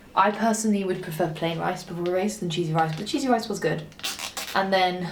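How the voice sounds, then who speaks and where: Amid noticeable background noise and audible room echo, a woman with a fairly low voice speaks at a fairly quick pace with ordinary pitch variation. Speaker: pro gravel cyclist and vlogger. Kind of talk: casual vlog chat. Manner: animated; whispering.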